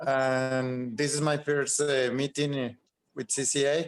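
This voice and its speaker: A man with a Spanish accent and monotone, flat intonation. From Colombia. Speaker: chemical engineer. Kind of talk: meeting self-introduction. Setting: video call.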